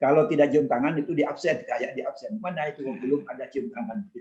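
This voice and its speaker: A man speaks in a fairly high-pitched voice with a dark, mellow tone. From East Java, Madurese-speaking area (Kraksaan, Probolinggo). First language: Madurese (speaking Indonesian). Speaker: former ambassador. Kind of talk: casual interview, life story. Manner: halting, with restarts.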